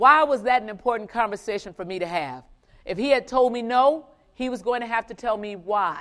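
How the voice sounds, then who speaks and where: An ordinary speaking voice moves at a fairly quick pace with ordinary pitch variation and big swings in loudness. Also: woman, fairly high pitch for a woman. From US South. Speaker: finance executive giving keynote. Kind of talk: motivational keynote speech. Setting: stage with live conference audience.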